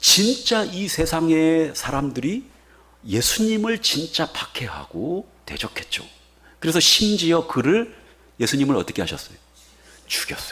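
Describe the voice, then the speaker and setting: A man's fairly high, bright, sharp voice with very wide pitch swings, a fairly slow pace and long, frequent pauses. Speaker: pastor. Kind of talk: sermon. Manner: animated.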